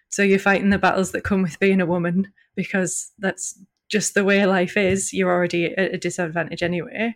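A woman with a Northeast English accent at a medium pitch, fairly quick and monotone with flat intonation, on a very clean recording with a silent background. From northeast England (County Durham). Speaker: journalist and PhD researcher. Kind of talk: podcast interview.

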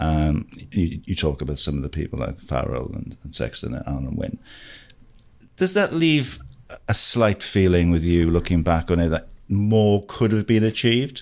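Very deep, low-pitched male voice with lively intonation at a moderate pace. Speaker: rugby journalist and co-host. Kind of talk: casual interview chat.

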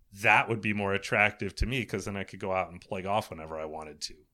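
Bright and sharp in tone, a man's voice with an American accent comes through a very clean recording against a silent background. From US East Coast. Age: 50s. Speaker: golf course architect. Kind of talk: casual chat.

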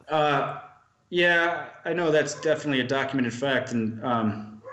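Audible room echo surrounds a man whose fairly high pitch shows ordinary variation. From US Midwest, Milwaukee, Wisconsin. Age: 30s. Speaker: private investigator. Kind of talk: casual interview.

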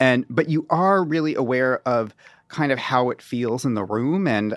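A man with a plain, everyday voice speaks at a moderate pace and medium pitch, on a very clean recording with a silent background and a dry, close sound with no echo. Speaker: journalist and author. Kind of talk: casual chat.

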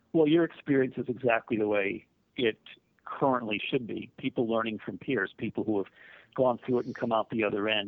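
A man with a normal speaking voice talks at a fairly quick pace, his medium pitch held in fairly even intonation. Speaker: mental health nonprofit CEO. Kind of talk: interview.

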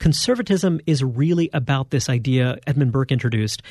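A man speaks at a moderate pace in a somewhat breathy voice. The sound is dry and close, with no echo. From Brooklyn, New York. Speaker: magazine editor and author. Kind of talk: interview.

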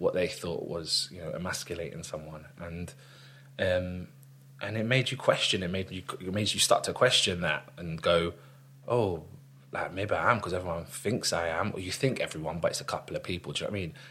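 In a London accent, a man with a very deep, low pitch talks at a fairly quick pace in a bright, sharp tone. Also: ordinary pitch variation. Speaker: actor. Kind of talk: casual chat.

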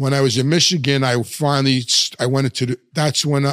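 A man talks at a fast pace in a fairly bright tone with little pitch movement. The sound is dry and close, with no echo. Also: medium pitch for a man.

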